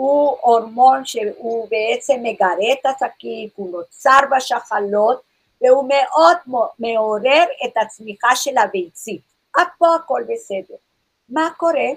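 A woman speaks at a very slow pace. Her high voice moves with lively intonation. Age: 60s. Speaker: naturopath. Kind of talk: lecture.

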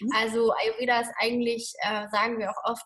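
Speaking at a moderate pace in an unremarkable speaking voice, a woman has a fairly high pitch. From Germany. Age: 30s. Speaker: Ayurveda lifestyle coach. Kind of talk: interview.

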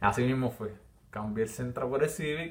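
A somewhat breathy man at a medium pitch with ordinary pitch variation. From Puerto Rico, Villalba. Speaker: podcast host. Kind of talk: casual monologue. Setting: live stream while recording.

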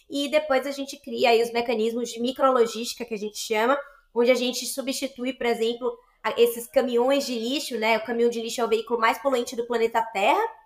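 A woman talks at a fairly quick pace in a high pitch. Her intonation is flat and monotone. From Bahia, Brazil (Salvador). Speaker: social entrepreneur, startup partner. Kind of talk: interview conversation.

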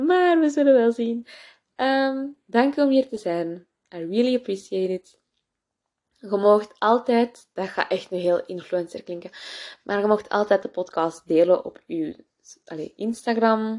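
A woman with a Flemish accent speaks at a very slow pace with lively intonation. Her pitch is fairly high, and the background is quiet. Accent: Flemish Dutch. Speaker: podcast host. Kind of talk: casual personal monologue. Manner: code-switching with English, many fillers.

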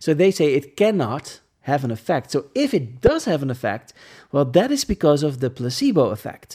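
The speaker talks at a moderate pace in a Dutch accent. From Netherlands. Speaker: podcast host. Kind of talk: reading aloud with commentary. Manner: halting.

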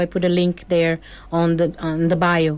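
A woman with a Brazilian accent talks at a moderate pace. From southern Brazil, Porto Alegre. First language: Portuguese. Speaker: singer-songwriter. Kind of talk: studio interview. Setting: radio studio.

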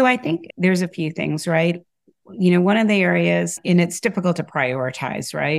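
A woman with an American accent speaks at a moderate pace with lively intonation, in a plain, everyday voice. The recording is very clean, with a silent background. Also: fairly low pitch for a woman. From US Midwest, Michigan. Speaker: talent acquisition director. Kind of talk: interview conversation.

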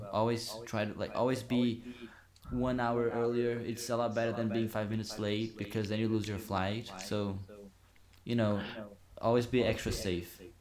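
A man with a Brazilian accent and a monotone, flat intonation. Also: medium pitch for a man, moderate pace. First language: Portuguese. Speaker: university student, guest. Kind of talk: casual podcast chat.

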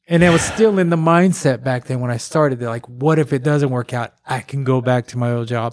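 This man talks at a fairly quick pace with hardly any pauses, using an unremarkable speaking voice at a medium pitch with ordinary pitch variation. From Corsicana, Texas. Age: 50s. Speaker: podcast host. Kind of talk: casual chat.

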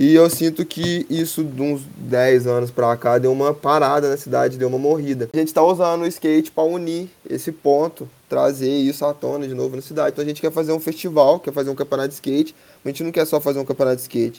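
Very fast and with hardly any pauses, a man speaks in a fairly high voice of dark, mellow tone with fairly even intonation. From Três Pontas, Minas Gerais, Brazil. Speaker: skateboarding community project founder. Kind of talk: casual interview.

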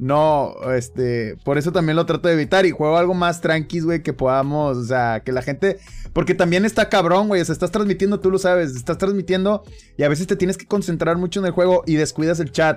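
Pitched high, the man talks at a fairly quick clip. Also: ordinary pitch variation. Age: 30s. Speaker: streamer and podcast host. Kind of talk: casual chat.

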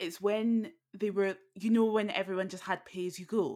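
Speaking at a moderate pace, a woman with a British accent holds a medium pitch. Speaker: podcast host. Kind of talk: casual chat; scripted narration.

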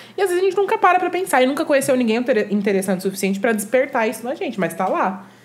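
A woman's high voice with very wide pitch swings, at a very fast pace, amid noticeable background noise. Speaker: content creator. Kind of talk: casual chat.

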